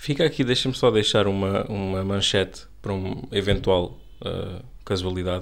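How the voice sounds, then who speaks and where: A man with a European Portuguese accent, fairly low in pitch, with ordinary pitch variation. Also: moderate pace. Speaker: podcast co-host, commentator. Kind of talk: casual satirical panel chat.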